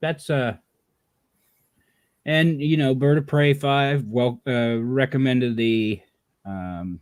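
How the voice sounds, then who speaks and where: A man with a medium pitch and ordinary pitch variation, at a very slow pace with long, frequent pauses. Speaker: history livestream co-host. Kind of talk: casual chat. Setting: live video stream.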